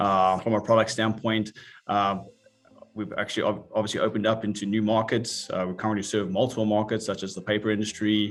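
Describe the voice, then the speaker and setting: In a very clean recording with a silent background, a man with a South African accent talks at a very fast pace, his fairly low-pitched voice monotone and flat in intonation. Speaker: industry executive. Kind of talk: interview. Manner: hesitant, many fillers.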